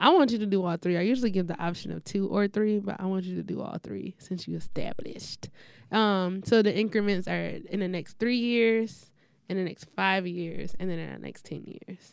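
Fairly even intonation from a woman at a medium pitch, moving at a moderate pace. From Detroit east side, Michigan. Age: 20s. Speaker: podcast host, engineer. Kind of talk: casual interview chat.

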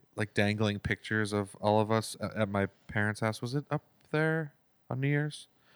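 A quiet man mumbles at a moderate pace, his pitch fairly low with ordinary pitch variation. The sound is dry and close with no echo, in a very clean recording with a silent background. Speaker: musician and podcast co-host. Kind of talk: casual chat. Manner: mumbly, quiet.

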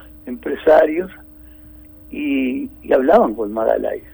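Against background music, the speech unfolds at a fairly slow pace. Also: man. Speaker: COVID-19 survivor. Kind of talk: phone interview. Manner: halting.

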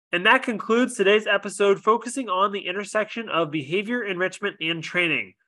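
A man's high, bright, sharp voice is raised and projected over a quiet background. He speaks with hardly any pauses. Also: ordinary pitch variation, fairly quick pace. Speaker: podcast host. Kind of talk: scripted intro and casual interview.

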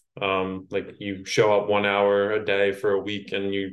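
A man speaks with an American accent at a fairly slow pace. His pitch sits fairly low, and the background is quiet. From New York City. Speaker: copywriter and course creator. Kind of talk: casual interview chat. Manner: slow talker.

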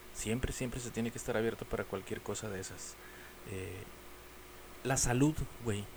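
This man talks at a moderate pace with a medium pitch and ordinary pitch variation. Long, frequent pauses break up his speech over noticeable background noise. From Mexico. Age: 40s. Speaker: podcast host. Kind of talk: casual monologue. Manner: halting.

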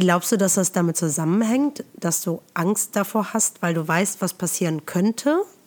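A woman with a plain, everyday voice speaks at a moderate pace and medium pitch, with hardly any pauses. Her loudness stays very even, and her pitch varies in an ordinary way. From Germany, Eifel region near Nürburgring. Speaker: yoga and meditation teacher, podcast host. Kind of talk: casual interview chat. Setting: remote recording, looking at each other via video.

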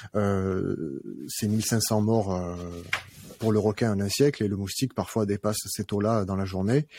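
At a fairly slow pace, a man with a fairly low pitch and a dark, mellow tone speaks with fairly even intonation. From southern France, Arles (Provence). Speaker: company founder. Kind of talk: interview.

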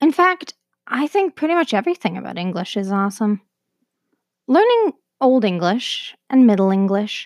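A woman with a Canadian accent and a plain, everyday voice, fairly high in pitch, at a moderate pace, on a very clean recording with a silent background and a dry, close sound with no echo. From Canada. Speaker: podcast host. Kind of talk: scripted narration.

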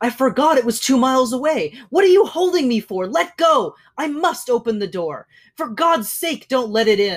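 Someone puts on a character voice with a fairly high pitch and talks at a moderate pace. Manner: frantic and pleading.

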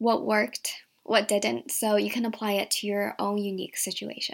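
A woman speaks with an American accent on a very clean recording with a silent background. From Virginia, US (from Shanghai until 8). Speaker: podcast host and career coach. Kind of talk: solo podcast monologue.

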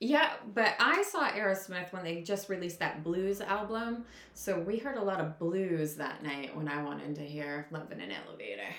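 Amid noticeable background noise and audible room echo, a woman at a medium pitch speaks at a moderate pace with lively intonation and an animated tone. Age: 40s. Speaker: podcast co-host. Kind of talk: casual chat.

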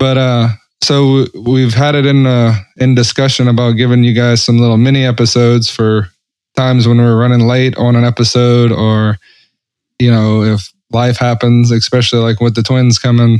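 This man's medium-pitched voice, with an American accent, moves at a moderate pace in a flat monotone and very even loudness over a quiet background. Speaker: podcast co-host. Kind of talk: casual chat.

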